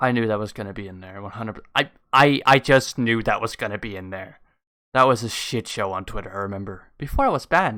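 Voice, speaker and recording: Recorded very cleanly against a silent background, a man with a fairly low pitch and a bright, sharp tone talks at a very fast pace, with ordinary pitch variation and big swings in loudness. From Denmark. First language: Danish. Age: 20s. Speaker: YouTube reactor. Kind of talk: casual reaction commentary. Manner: animated.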